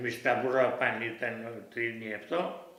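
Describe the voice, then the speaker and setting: A man, fairly slow and fairly even in intonation, amid noticeable background noise. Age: 90s. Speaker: war witness. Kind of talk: oral history interview. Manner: halting.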